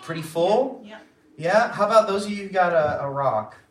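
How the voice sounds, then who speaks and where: At a moderate pace, a man with an American accent speaks with very wide pitch swings, and room echo can be heard. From Florida. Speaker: children's church teacher. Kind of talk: children's Bible lesson. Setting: room with children. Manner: animated.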